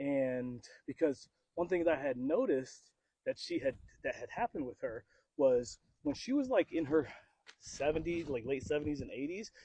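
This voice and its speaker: With long, frequent pauses, a man speaks in a dark, mellow tone at a fairly high pitch with lively intonation, the sound dry and close with no echo. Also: moderate pace. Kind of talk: podcast conversation. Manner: casual, rambling.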